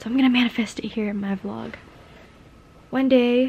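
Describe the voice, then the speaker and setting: The delivery is monotone and flat at a moderate pace. Light background noise can be heard. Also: woman. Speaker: vlogger. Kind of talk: casual vlog chat. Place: home room. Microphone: phone near.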